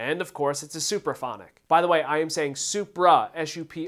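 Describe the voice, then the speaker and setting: On a very clean recording with a silent background, a man talks at a moderate pace. His pitch is fairly high, with ordinary pitch variation. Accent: Philadelphia. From Philadelphia, US. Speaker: drummer and gear reviewer. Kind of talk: product review; giveaway announcement.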